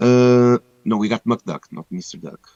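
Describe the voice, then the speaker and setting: A man speaks at a medium pitch and a moderate pace. The sound is dry and close, with no echo. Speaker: game livestream host. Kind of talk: live stream giveaway announcements. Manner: casual, some hesitations.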